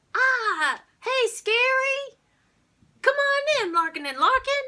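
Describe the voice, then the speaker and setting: A woman uses a put-on character voice, squeaky and extremely high in pitch. She speaks at a very slow pace. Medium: solo performance. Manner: loud, jovial, over-the-top.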